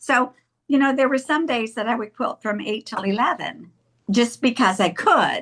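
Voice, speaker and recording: Her voice sits high, and this woman uses ordinary pitch variation. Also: moderate pace. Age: 70s. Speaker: longarm quilter and business owner. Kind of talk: interview.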